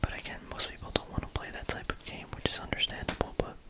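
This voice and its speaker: A very fast whisper comes through over noticeable background noise. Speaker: ASMR content creator. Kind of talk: ASMR whispered ramble about a card game; casual talk to camera. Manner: whispered.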